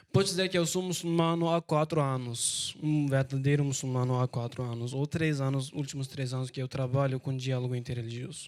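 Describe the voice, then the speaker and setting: Talking at a fairly quick pace, a man with a Turkish accent uses a medium pitch and fairly even intonation. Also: hardly any pauses. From Turkey. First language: Turkish (speaking Portuguese). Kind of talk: panel talk. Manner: halting.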